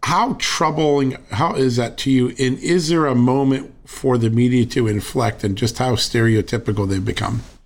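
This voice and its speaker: Using a normal speaking voice, a man talks at a moderate pace and medium pitch with ordinary pitch variation and hardly any pauses. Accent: American. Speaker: podcast host. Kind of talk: interview with ad reads.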